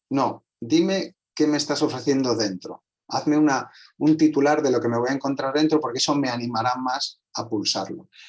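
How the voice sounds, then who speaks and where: Ordinary pitch variation in a fairly high male voice. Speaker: translator and communication specialist. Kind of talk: online conversation. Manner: fast.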